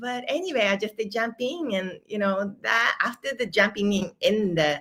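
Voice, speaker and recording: Speaking at a fairly slow pace with a Japanese accent, a woman uses a bright, sharp tone at medium pitch. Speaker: manifestation and money coach. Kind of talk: interview conversation. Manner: halting.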